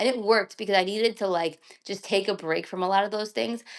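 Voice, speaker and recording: An unremarkable speaking voice with ordinary pitch variation comes through over a quiet background. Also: woman. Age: 30s. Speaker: creator and community space organizer. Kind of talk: casual live-stream chat. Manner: casual, filler-heavy with many restarts.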